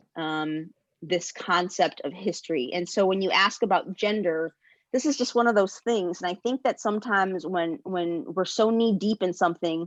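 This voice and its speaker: A woman with an American accent speaks at a fairly slow pace and a medium pitch with ordinary pitch variation. The sound is dry and close with no echo, over a quiet background. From Chicago, US Midwest. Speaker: historian. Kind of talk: panel discussion. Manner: halting, many fillers.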